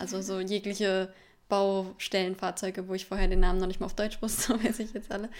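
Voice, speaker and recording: A woman speaks fairly quickly, her intonation monotone and flat. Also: medium pitch for a woman. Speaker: au pair. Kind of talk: casual chat. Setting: studio.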